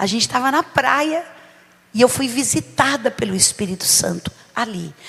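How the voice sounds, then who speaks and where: Noticeable background noise around a woman with lively intonation at a moderate pace. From São Paulo, Brazil. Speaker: bishop, preacher. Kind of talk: sermon. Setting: church service.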